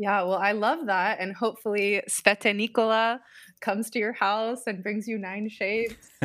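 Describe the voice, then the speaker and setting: A woman with a normal speaking voice talks in an American accent at a fairly high pitch and a moderate pace. Her intonation is fairly even, and the recording is very clean with a silent background. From US West Coast (Southern California). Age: 30s. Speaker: Enneagram coach and consultant. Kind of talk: casual interview.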